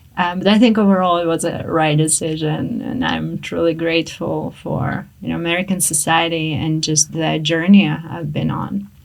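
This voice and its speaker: A woman talks at a moderate pace with hardly any pauses. Noticeable background noise runs behind her. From Russia. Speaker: psychologist and coach. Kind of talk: interview.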